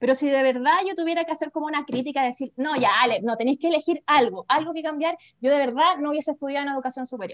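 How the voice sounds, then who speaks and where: A woman with a Chilean accent speaks at a very fast pace in a high pitch. Her pitch varies in an ordinary way, and the sound is dry and close with no echo. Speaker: teacher turned holistic therapist. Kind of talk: casual chat.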